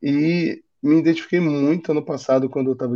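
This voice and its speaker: A man with a Rio de Janeiro accent talks at a moderate pace in a dark, mellow tone with ordinary pitch variation. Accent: carioca. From Rio de Janeiro, Brazil. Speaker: design manager. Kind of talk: interview.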